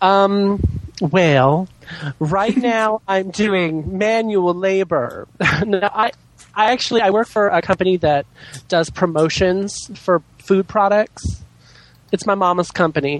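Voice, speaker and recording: In a dry, close recording with no echo, a man with a high pitch speaks very slowly in a theatrical tone, with long, frequent pauses, very even loudness and ordinary pitch variation. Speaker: podcast guest, drag queen. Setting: online voice call with echo and feedback. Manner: exaggerated, theatrical inflections; campy, addresses others as darling.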